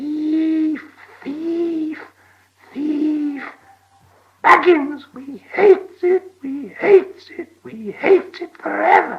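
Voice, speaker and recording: A man puts on a character voice at an extremely high pitch. He goes very slowly, with long, frequent pauses. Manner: menacing.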